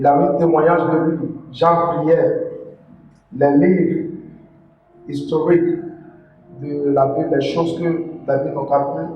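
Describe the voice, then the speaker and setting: Over noticeable background noise and audible room echo, a man with a non-native accent talks at a very slow pace in a fairly high pitch, his intonation monotone and flat, with long, frequent pauses. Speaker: preacher. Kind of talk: sermon. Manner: halting.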